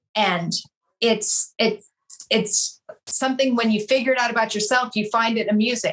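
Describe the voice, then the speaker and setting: A woman speaks with an American accent. Her pace is fairly quick and her intonation fairly even. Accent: slight California accent, adapts to listener. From California, San Pedro. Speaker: real estate broker. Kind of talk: interview conversation.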